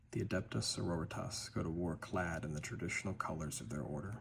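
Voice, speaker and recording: A man speaks at a fairly quick pace with very deep, low pitch and vocal fry. His intonation is lively. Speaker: ASMR / lore content creator. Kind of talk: ASMR lore read and ramble. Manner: soft-spoken.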